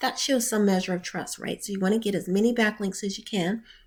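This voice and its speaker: A woman's voice at a fairly quick pace with fairly even intonation. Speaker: digital marketing consultant. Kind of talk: tutorial. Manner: fast.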